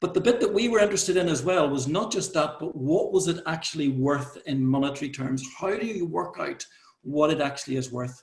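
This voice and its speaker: Speaking with an Irish accent, a man uses lively intonation at a fairly high pitch and a moderate pace. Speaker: conference presenter. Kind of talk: conference presentation. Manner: repetitive false starts.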